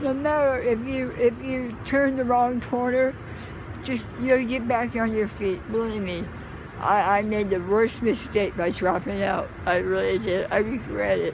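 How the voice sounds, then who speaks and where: Over noticeable background noise but with a dry sound and no echo, a woman with an American accent speaks at a fairly slow pace, her fairly high voice full of lively intonation. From Southern California. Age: 50s. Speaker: homeless resident; interviewee. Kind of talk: interview. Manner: halting. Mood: earnest, regretful, emotional. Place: street. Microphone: phone near.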